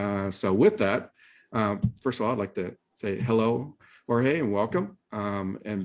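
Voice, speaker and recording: Against a quiet background, a man speaks in a fairly low voice with a Midwestern accent. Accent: Midwest American. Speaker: webinar host. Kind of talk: webinar introduction. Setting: video call. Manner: hesitant, many fillers.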